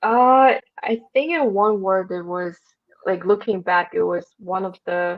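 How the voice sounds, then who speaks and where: With a Russian accent, a woman speaks at a fairly slow pace. Her pitch varies in an ordinary way. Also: medium pitch for a woman. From Russia (Moscow). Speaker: podcast guest, marketing worker. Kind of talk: casual interview chat. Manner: halting, many fillers and restarts.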